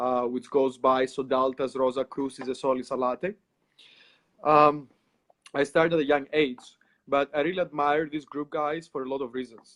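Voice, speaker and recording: Talking at a moderate pace, a man with a Greek accent has a fairly high pitch and monotone, flat intonation. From Greece. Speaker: occult practitioner. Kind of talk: casual interview.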